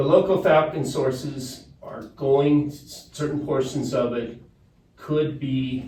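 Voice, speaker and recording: A man's somewhat breathy, fairly high voice with a dark, mellow tone. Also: big swings in loudness. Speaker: water resources consultant. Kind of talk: presentation to a board. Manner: fast.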